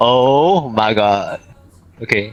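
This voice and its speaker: A man with a Singaporean accent talks at a medium pitch with ordinary pitch variation. There is noticeable background noise behind him. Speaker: VRChat player. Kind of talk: casual chat.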